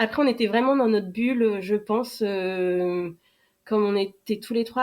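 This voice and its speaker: A woman with a fairly high pitch speaks at a moderate pace in a very clean recording with a silent background. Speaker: adoptive mother sharing her story. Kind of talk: podcast interview. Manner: loud; hesitant, many fillers.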